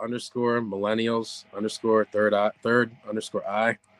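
The man speaks at a fairly slow pace, and the sound is dry and close with no echo. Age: 30s. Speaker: psychic medium. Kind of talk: casual interview chat.

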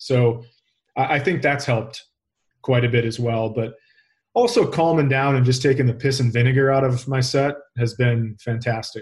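A man with an American accent speaks at medium pitch. His voice is somewhat breathy, and his intonation stays fairly even. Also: moderate pace. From Minnesota. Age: 40s. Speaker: comedian. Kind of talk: interview.

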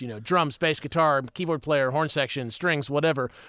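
A man speaks with an American accent in an ordinary speaking voice. His pitch is fairly high, with fairly even intonation. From West Virginia. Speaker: musician and music producer. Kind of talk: casual chat.

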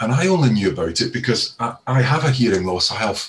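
A man's medium-pitched, somewhat breathy voice at a fairly quick pace. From Scotland. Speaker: audiology professor. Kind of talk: panel discussion, explanatory. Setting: online webinar.

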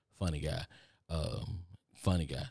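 A man's very deep, low voice with a dark, mellow tone and a Texan accent, on a very clean recording with a silent background. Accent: Texan Southern US drawl. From Texas. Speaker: podcast host. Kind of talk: motivational monologue. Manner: fast talker; casual, repetitive.

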